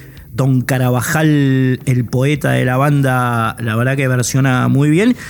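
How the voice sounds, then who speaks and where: Very slow and very even in loudness, a man speaks at a medium pitch with fairly even intonation over noticeable background noise. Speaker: radio host. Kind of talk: radio music program presentation.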